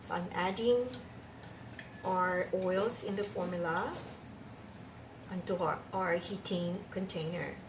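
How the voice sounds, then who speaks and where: A woman's medium-pitched voice at a very slow pace, with long, frequent pauses, fairly even intonation, noticeable background noise and audible room echo. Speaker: cosmetics formulation teacher. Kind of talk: tutorial. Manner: hesitant, many fillers.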